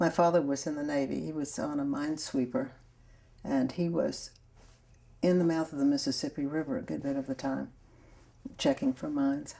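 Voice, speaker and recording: A woman speaks fairly quickly in a very deep, low voice with a dark, mellow tone. Her intonation is flat and monotone, broken by long, frequent pauses. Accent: New Orleans. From US South, New Orleans, Louisiana. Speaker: grandmother telling her life story. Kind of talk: oral history interview. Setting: sun room at home.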